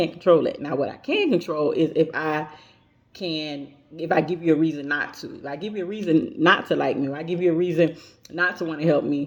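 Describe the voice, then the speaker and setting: A woman with a very deep, low voice speaks in fairly even intonation, her loudness swinging widely. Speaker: student. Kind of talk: class assignment video reflection. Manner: halting, many fillers and repetitions.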